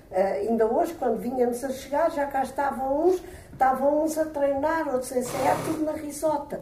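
Over noticeable background noise and audible room echo, a woman speaks at a high pitch and a moderate pace, with ordinary pitch variation. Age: 70s. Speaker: retired history teacher, amateur actor. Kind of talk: interview.

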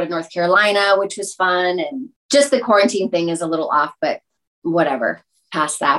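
Using a normal speaking voice, a woman talks at a fairly quick pace and medium pitch with lively intonation. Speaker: entertainer, DJ and actress. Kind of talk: casual interview chat.

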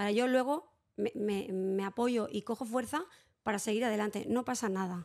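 In an ordinary speaking voice, a woman talks at a moderate pace with a fairly high pitch and ordinary pitch variation, in a very clean recording with a silent background. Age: 40s. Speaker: psychologist and early childhood educator. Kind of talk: interview.

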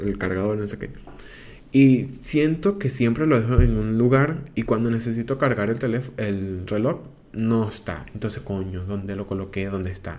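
Ordinary pitch variation marks this man's speech. His voice sits at a medium pitch. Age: 20s. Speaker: podcaster. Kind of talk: casual monologue. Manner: halting with fillers.

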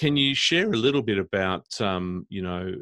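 Delivery comes at a moderate pace. It carries an Australian accent. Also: man. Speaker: podcast host, smart cities council director. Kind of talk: interview.

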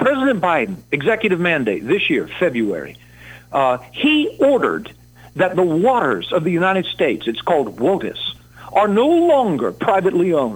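A man with an American accent speaks at a moderate pace with a high pitch, very wide pitch swings and very even loudness. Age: 60s. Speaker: congressional candidate. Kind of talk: political pitch on radio call-in. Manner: animated.

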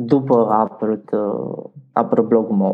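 A man talking at a very slow pace. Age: 20s. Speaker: LGBTQ activist. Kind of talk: interview.

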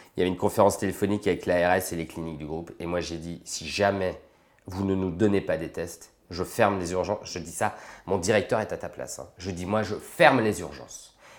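The speech moves at a fairly quick pace and swings widely in loudness. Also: man, very deep, low pitch for a man, fairly even intonation. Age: 40s. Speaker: anesthesiologist and intensive care doctor. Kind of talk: interview.

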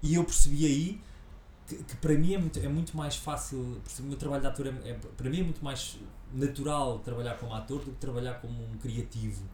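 A man with a European Portuguese accent talks at a fairly quick pace, with audible room echo and noticeable background noise. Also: big swings in loudness. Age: 40s. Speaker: actor and comedian. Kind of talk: casual interview.

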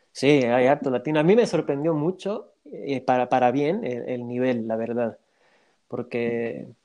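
A man speaks at a medium pitch with a dark, mellow tone. His loudness swings widely. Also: ordinary pitch variation, fairly slow pace. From Bolivia. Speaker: football fan guest. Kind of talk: casual interview.

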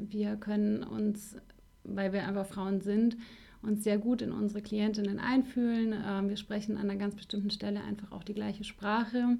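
A woman speaks at a moderate pace with a medium pitch and monotone, flat intonation. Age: 30s. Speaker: life coach. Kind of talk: interview.

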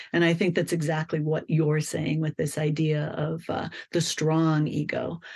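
This woman has a very deep, low pitch and an American accent. She talks at a fairly slow pace against a quiet background. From Colorado. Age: 50s. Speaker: novelist. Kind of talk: interview. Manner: animated.

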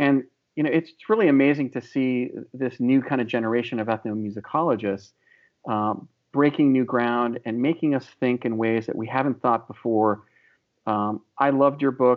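A man with an American accent at a medium pitch and moderate pace, fairly even intonation, a normal speaking voice. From US, Illinois. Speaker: podcast host. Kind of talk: interview. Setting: video call.

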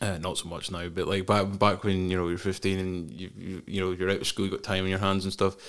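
A man with a Scottish accent talks at a very fast pace with hardly any pauses, his very deep, low voice held in a monotone, flat intonation. The recording is very clean, with a silent background. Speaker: podcast host. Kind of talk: casual chat. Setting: studio.

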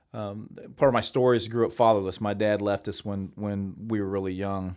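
A plain, everyday voice at a fairly quick pace, with fairly even intonation, in a very clean recording with a silent background. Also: man. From Missouri. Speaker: pastor. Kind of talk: interview. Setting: studio.

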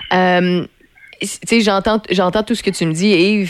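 Speaking with a Quebec accent, a woman keeps a moderate pace and fairly even intonation. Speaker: radio host. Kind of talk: casual radio chat. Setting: radio studio.

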